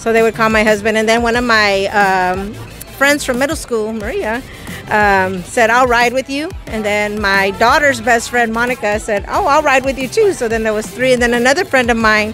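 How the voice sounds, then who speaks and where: Clear music plays behind a woman whose pitch varies in an ordinary way. The sound is dry, with no echo. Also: moderate pace. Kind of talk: interview answer. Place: street. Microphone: handheld.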